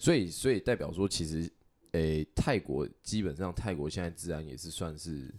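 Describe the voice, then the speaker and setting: With vocal fry and a very deep, low pitch, a man talks at a moderate pace with ordinary pitch variation. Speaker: podcast host. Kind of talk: casual chat.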